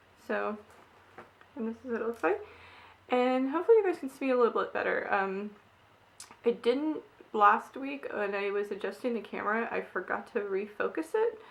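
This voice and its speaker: A woman with long, frequent pauses, over noticeable background noise. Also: moderate pace. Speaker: tarot card reader. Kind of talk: spiritual card reading vlog. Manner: hesitant, many fillers.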